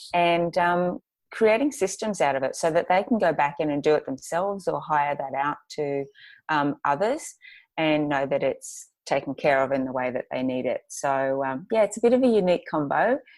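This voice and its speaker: On a very clean recording with a silent background, a woman with an Australian accent speaks at a moderate pace, her fairly low pitch making very wide swings. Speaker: graphic designer and planner business owner. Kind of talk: podcast interview. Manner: hesitant, many fillers.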